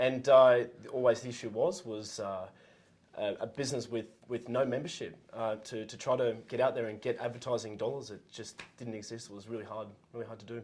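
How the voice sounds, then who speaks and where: A man with an Australian accent speaks at a fairly quick pace in a medium pitch. His intonation is fairly even, but his loudness swings widely. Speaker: entrepreneur, former gym owner. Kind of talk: casual interview. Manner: halting, many fillers.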